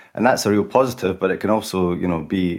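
A man with a Scottish accent talks at a very fast pace in a very deep, low voice with fairly even intonation. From Scotland. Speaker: agency founder, creative director. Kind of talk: panel discussion, professional. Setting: remote call.

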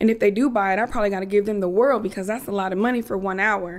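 A woman with a normal speaking voice, medium pitch and fairly even intonation. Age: 30s. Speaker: business therapist and coach. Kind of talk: interview conversation.

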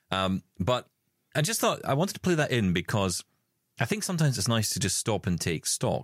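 The speaker has vocal fry and very wide pitch swings at a moderate pace. The recording is very clean with a silent background and a dry, close sound with no echo. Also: man. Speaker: accessible technology show co-host. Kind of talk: casual chat.

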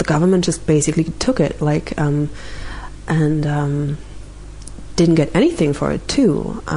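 Amid noticeable background noise, a woman with a German accent speaks with long, frequent pauses. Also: moderate pace. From rural East Germany. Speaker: interview guest sharing mental health story. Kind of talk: personal testimony in interview. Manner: hesitant with many fillers.

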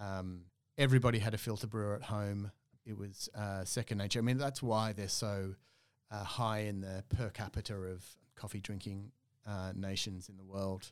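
Fairly even intonation in an Australian accent, at a moderate pace, on a very clean recording with a silent background. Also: man, fairly low pitch for a man. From Australia, Melbourne. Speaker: coffee roaster and business owner. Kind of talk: casual interview.

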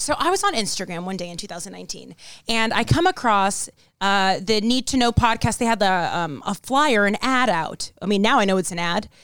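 A woman speaks at a medium pitch with lively intonation and a fairly quick pace. The recording is very clean, with a silent background. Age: 20s. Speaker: podcast host and actress. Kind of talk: casual chat. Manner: harsh, aggressive tone.

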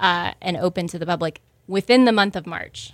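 In an American accent, a woman with medium pitch, ordinary pitch variation and a plain, everyday voice speaks at a moderate pace in a very clean recording with a silent background. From Houston, Texas. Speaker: restaurant co-owner. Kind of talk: interview.

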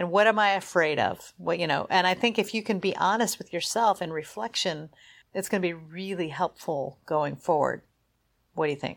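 Here is a normal speaking voice with ordinary pitch variation at a moderate pace. The recording is very clean, with a silent background. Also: woman, fairly low pitch for a woman. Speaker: podcast co-host, endurance cyclist. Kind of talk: casual chat.

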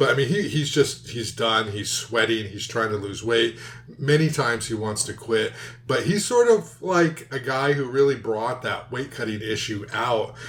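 In an American accent, a man with an ordinary speaking voice talks at a moderate pace and medium pitch with ordinary pitch variation. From Southern California. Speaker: MMA podcast co-host. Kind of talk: casual chat.

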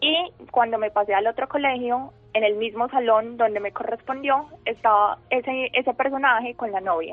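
Speaking at a moderate pace, a woman has a normal speaking voice, fairly high in pitch, with ordinary pitch variation. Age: 20s. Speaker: student sharing her illness story. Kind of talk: radio interview, personal testimony.

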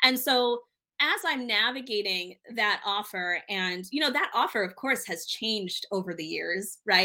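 An unremarkable speaking voice, a woman's fairly high pitch, ordinary pitch variation and a moderate pace. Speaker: ClickUp consultant. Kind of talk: casual interview. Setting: at home, child in background.

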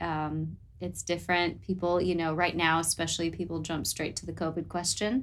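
An American-accented woman talks at a moderate pace with hardly any pauses, her pitch fairly low. Her intonation is fairly even, and vocal fry comes through. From Southern California. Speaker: nurse. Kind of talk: interview.

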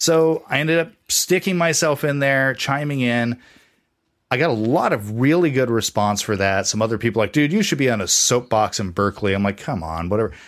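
With an ordinary speaking voice, a man of medium pitch talks at a fairly quick pace with lively intonation on a very clean recording with a silent background. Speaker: comic book podcaster. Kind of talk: casual chat.

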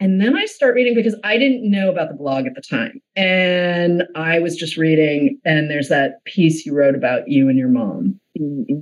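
Hardly pausing, a woman talks at a moderate pace with a fairly low pitch and very wide pitch swings. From Boston. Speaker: podcast host and producer. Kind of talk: casual chat.

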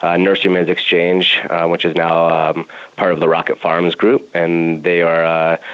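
A man with an American accent, very deep and low in pitch, at a moderate pace with fairly even intonation over noticeable background noise. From Colorado, Denver. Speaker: cannabis grow operations director. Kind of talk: interview. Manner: halting, many fillers.

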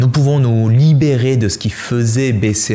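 A man speaks in a medium pitch with ordinary pitch variation. There is noticeable background noise. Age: 30s. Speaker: personal development teacher. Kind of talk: video monologue.

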